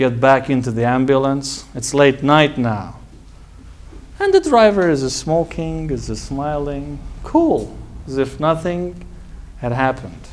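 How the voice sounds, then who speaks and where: A man speaks at a very slow pace. He leaves long, frequent pauses. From Iran, Tehran. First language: Persian. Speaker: medical doctor and college founder. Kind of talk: personal talk to an audience.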